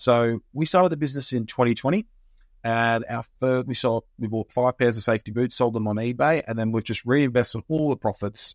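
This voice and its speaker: A man with an Australian accent at a very fast pace, medium pitch and ordinary pitch variation, in a dry, close sound with no echo. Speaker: small business owner and podcast host. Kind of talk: casual chat. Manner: joking, playful banter.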